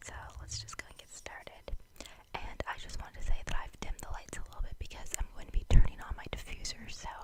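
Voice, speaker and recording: Someone whispers at a very fast pace. Noticeable background noise can be heard. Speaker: ASMR content creator. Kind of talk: ASMR whispered show-and-tell. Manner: whispered.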